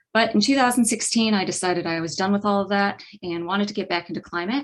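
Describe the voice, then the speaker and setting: Against a quiet background, a woman with a US Midwestern accent speaks with ordinary pitch variation. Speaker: climate scientist. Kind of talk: lecture. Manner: hesitant with many fillers.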